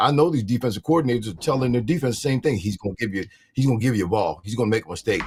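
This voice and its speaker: Somewhat breathy, a man with a medium pitch and lively intonation sounds dry and close, with no echo. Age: 60s. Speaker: retired NFL player, football show co-host. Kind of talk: casual sports talk show. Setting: live video stream.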